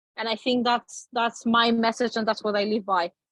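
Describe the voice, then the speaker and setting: A woman with a Polish accent talks at a moderate pace in a fairly high pitch, the sound dry and close with no echo. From Poland. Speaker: talk show guest. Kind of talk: interview storytelling.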